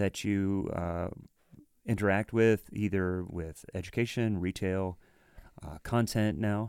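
In a very clean recording with a silent background, a man with a fairly low pitch speaks at a very slow pace with an American accent. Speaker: podcast host, drummer. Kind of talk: casual interview chat.

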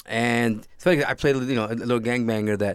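A man talks at a moderate pace with fairly even intonation. The recording is very clean, the background silent. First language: Spanish. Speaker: actor. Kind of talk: casual interview.

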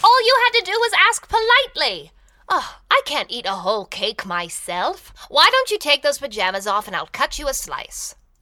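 The voice moves at a moderate pace while its pitch swings very widely. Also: woman, high pitch for a woman. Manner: cheerful, kindly.

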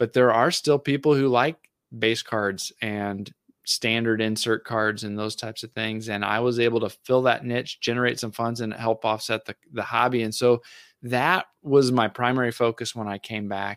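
In a very clean recording with a silent background, dry and close with no echo, a man speaks in an unremarkable speaking voice. His pitch is medium, his pace moderate and his intonation fairly even. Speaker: podcaster and card collector. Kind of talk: casual chat.

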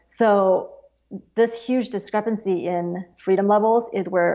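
A woman with an unremarkable speaking voice and a medium pitch speaks at a fairly slow pace, with ordinary pitch variation. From Beijing, China, then the US. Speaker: index founder, former wealth advisor. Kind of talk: interview.

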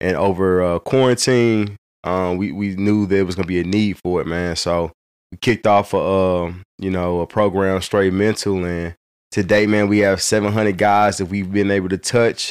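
Very clean recording with a silent background. A man talks at a moderate pace in a fairly low pitch, with monotone, flat intonation. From St. Louis, Missouri (North County, Hazelwood). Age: 30s. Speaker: fatherhood nonprofit founder. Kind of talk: casual chat.

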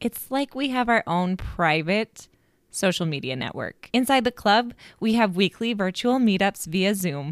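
In a dry, close sound with no echo, a woman with an ordinary speaking voice talks at a medium pitch and a fairly slow pace, her intonation lively. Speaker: podcast host and life coach. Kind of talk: interview. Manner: upbeat.

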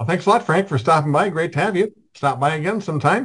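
A man speaks against a quiet background. His voice is somewhat breathy. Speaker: podcast host. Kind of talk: casual interview. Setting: video call.

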